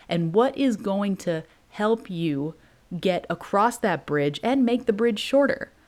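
With lively intonation and a warm tone, a woman speaks at a medium pitch. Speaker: podcast host and motivational coach. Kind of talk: pep talk. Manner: animated, hyped-up, urgent and punchy; warm, direct, sisterly.

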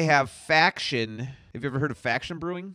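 A man is speaking. His tone is bright and sharp. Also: dry, close sound with no echo, very clean recording, silent background. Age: 50s. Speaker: podcast co-host, movie discussion. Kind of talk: casual chat.

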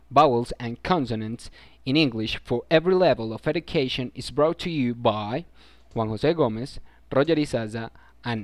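Here a man talks with a Spanish accent at a moderate pace. His voice has a medium pitch and ordinary pitch variation. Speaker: student presenter of a pronunciation program. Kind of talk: scripted narration.

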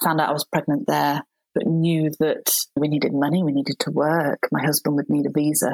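With vocal fry and fairly even intonation, the voice moves at a fairly quick pace in a dry, close sound with no echo. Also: woman. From Shropshire, England. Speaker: midwife and author. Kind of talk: interview conversation.

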